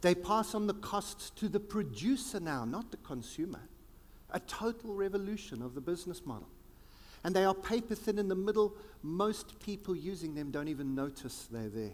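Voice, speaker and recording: With lively intonation, a high-pitched man talks at a moderate pace. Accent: South African. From South Africa. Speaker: futurist keynote speaker. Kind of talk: keynote speech. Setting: conference stage with audience. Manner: animated.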